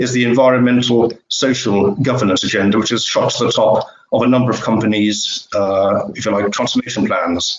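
A man with a plain, everyday voice speaks at a fairly quick pace in a medium pitch, with ordinary pitch variation. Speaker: editor and webinar host. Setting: online webinar.

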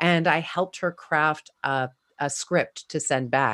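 The voice shows ordinary pitch variation in a very clean recording with a silent background. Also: woman. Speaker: communications coach and actor. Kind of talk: interview conversation. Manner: strong, not quiet.

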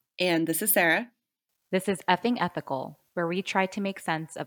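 A woman speaks in an ordinary speaking voice at a moderate pace with ordinary pitch variation, recorded very cleanly against a silent background with a dry, close sound and no echo. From United States (born in Korea, moved as small child). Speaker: podcast co-host, startup founder, former lawyer. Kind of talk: casual chat; scripted show intro and outro.

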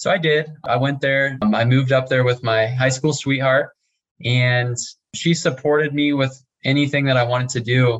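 A man's medium-pitched, somewhat breathy voice at a moderate pace, monotone and flat. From US Midwest, small town Nebraska. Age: young. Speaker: real estate investor. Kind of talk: interview.

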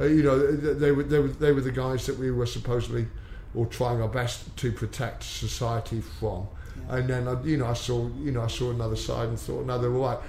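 A man speaks fairly quickly, with audible room echo around his voice. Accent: West Country. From England, Exeter, Devon. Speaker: MMA coach, former policeman. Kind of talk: interview. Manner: halting, repeats words.

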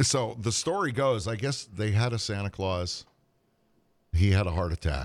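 On a very clean recording with a silent background, a fairly low-pitched man speaks at a moderate pace with lively intonation. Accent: American. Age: 60s. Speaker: co-host, part-time Santa Claus. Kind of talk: casual chat.

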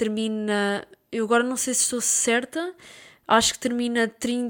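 A woman speaks with a European Portuguese accent. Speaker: football podcaster. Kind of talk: solo football commentary podcast. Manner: casual, with hesitations and repetitions.

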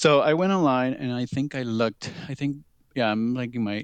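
A man with a Spanish accent talks at a moderate pace with ordinary pitch variation, his sound dry and close with no echo against a quiet background. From Peru. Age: 30s. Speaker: leather titleholder. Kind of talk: casual interview.

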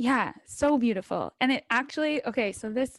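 In a normal speaking voice with a Canadian accent, a woman talks at a moderate pace with ordinary pitch variation, in a dry, close sound with no echo and a quiet background. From London, Ontario, Canada. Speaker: podcast host. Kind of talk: interview.

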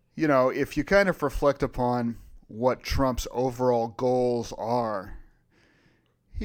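This man has an unremarkable speaking voice at a medium pitch, with an American accent. He talks at a fairly slow pace on a very clean recording with a silent background. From Virginia. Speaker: philosopher podcast co-host. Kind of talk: casual chat.

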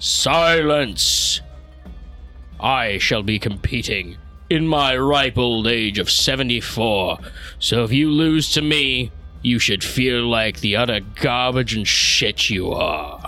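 A man speaks at a medium pitch in a put-on character voice, very slowly. Clear music plays behind him.

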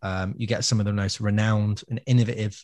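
Here a man speaks in a medium pitch with an English accent. The recording is very clean and silent behind him, with a dry, close sound and no echo. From England. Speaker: music podcast co-host, gigging musician. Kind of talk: casual chat. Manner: animated.

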